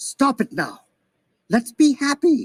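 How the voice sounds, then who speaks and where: The voice is a put-on character voice. It is pitched high. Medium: stage play.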